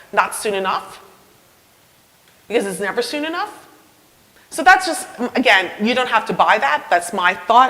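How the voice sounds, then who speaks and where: Woman's fairly high voice with very wide pitch swings, moderate pace, long, frequent pauses, audible room echo, noticeable background noise. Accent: slight New York. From New York. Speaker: university professor of history. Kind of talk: public lecture; audience Q&A. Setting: talk with live audience, mic. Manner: conversational, with hesitations and restarts.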